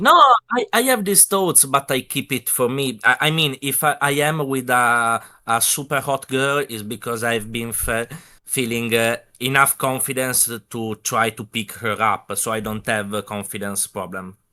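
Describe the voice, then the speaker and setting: The speaker has a non-native accent and a bright, sharp tone. Delivery is at a moderate pace with ordinary pitch variation. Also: man, medium pitch for a man. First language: not English. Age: young. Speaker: viewer on call. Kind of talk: casual chat. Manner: halting.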